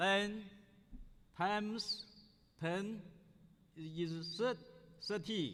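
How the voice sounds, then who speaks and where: With a Chinese accent, a high-voiced man talks at a very slow pace with long, frequent pauses, ordinary pitch variation and audible room echo. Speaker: scholar, conference speaker. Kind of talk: conference speech. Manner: halting, with restarts.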